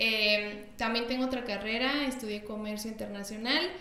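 A woman with a fairly high voice speaks at a fairly slow pace amid noticeable background noise and audible room echo. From Mexico. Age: 20s. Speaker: podcast co-host, nutritionist. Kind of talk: casual chat.

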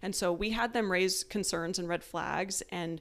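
This woman talks at a moderate pace in an American accent. Her voice sits fairly low and carries vocal fry. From Tucson, Arizona. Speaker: guest, wife, military officer. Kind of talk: casual interview chat.

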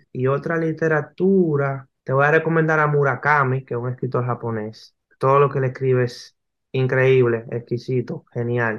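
The clip has a normal speaking voice. The pace is fairly slow and the intonation fairly even. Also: man. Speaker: graphic novelist. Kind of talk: interview.

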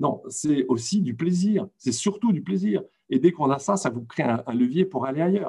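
A man speaks at a moderate pace with a dark, mellow tone, somewhat breathy. His pitch is fairly high and swings very widely. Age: 60s. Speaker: retired comics publisher. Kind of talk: panel discussion.

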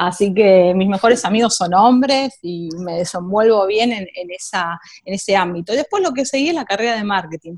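The speaker has a Rioplatense accent and talks at a moderate pace with ordinary pitch variation. There are hardly any pauses. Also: woman, medium pitch for a woman. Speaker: tech marketing professional. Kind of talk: interview.

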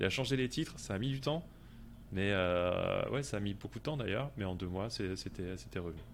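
A man's fairly low voice carries vocal fry and lively intonation. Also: moderate pace. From France. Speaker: SEO freelancer, podcast co-host. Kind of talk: casual chat.

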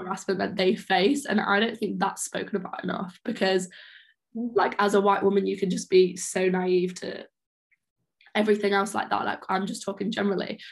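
With an English accent, the speaker keeps a moderate pace and fairly even intonation. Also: woman, medium pitch for a woman. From England, small town. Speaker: podcast host, university student. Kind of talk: casual chat.

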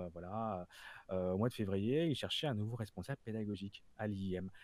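A man with an unremarkable speaking voice talks at a fairly quick pace and fairly low pitch, his intonation fairly even. The recording is very clean, with a silent background. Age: 40s. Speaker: freelance product designer and design trainer. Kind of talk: casual interview.

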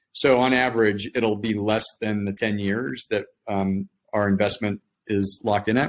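A man with an American accent speaks at a fairly slow pace in a fairly low pitch. His intonation is fairly even, a normal speaking voice. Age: 50s. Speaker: startup executive. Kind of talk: interview.

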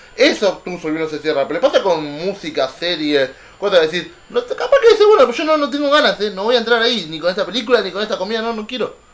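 A man speaks in a high pitch at a very fast pace, his voice making very wide pitch swings. Noticeable background noise sits behind him. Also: hardly any pauses. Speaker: podcast host. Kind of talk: casual chat.

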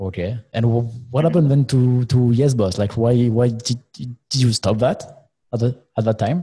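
Speaking with a French accent at a moderate pace, a man has a medium-pitched, somewhat breathy voice with a dark, mellow tone and ordinary pitch variation. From France. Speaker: co-host. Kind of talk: casual interview chat. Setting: studio.

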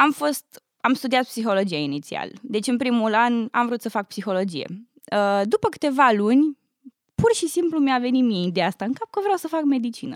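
In a dry, close recording with no echo, a woman speaks high in pitch with very wide pitch swings. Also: moderate pace. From Romania. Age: 20s. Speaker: university student. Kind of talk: casual interview.

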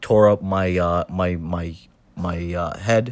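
A man speaks quietly in a very deep, low voice on a very clean recording with a silent background. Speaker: first-time podcaster. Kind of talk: personal monologue. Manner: halting.

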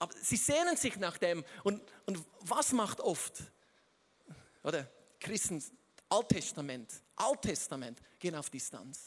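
A very slow pace, long and frequent pauses, and very wide pitch swings. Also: man, high pitch for a man. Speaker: guest preacher. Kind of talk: sermon. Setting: stage with audience. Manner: halting.

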